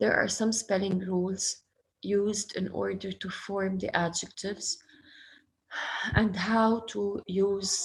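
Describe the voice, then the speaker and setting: At a very slow pace, a woman speaks in a somewhat breathy voice. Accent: Arabic. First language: Arabic. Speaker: schoolteacher. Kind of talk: online class lesson.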